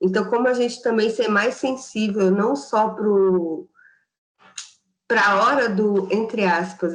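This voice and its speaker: Fairly slow delivery with fairly even intonation. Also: woman. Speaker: performing artist and writer. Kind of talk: online panel talk.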